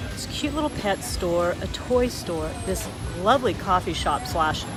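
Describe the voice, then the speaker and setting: A woman with an American accent and a fairly low pitch, with audible room echo and music in the background. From Los Angeles. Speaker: real estate vlogger. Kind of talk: vlog tour narration. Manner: fast.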